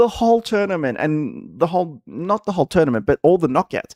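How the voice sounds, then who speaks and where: Speaking at a fairly quick pace with an Australian accent, a man uses a high pitch with very wide pitch swings, the sound dry and close with no echo. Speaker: gaming streamer. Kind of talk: casual live-stream chat. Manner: halting, many fillers and repeats.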